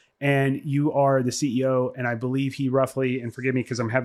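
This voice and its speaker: Recorded very clean with a silent background and a dry, close sound with no echo, a man speaks at a fairly quick pace and medium pitch. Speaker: podcast co-host. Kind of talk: casual discussion. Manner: loud; halting.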